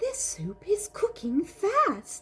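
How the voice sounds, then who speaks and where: This put-on character voice sounds female, squeaky, and extremely high in pitch. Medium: read story.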